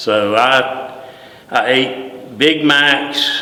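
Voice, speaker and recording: With a North Carolina accent, a man at a medium pitch is heard through noticeable background noise and audible room echo. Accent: Southern US (North Carolina). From US South, Greensboro, North Carolina. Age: 60s. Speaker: retired deputy fire chief. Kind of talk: oral history interview. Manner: halting, many fillers and repeats.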